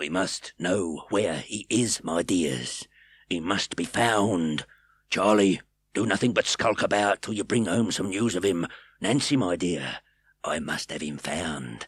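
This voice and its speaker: A man puts on a raspy character voice. He moves at a fairly slow pace. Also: very clean recording, silent background. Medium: read story. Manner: wheedling, ingratiating.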